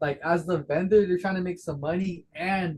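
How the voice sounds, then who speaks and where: A high-pitched man with an American accent, fairly even intonation and a moderate pace. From Las Vegas, US. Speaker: trading card vendor. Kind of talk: casual chat.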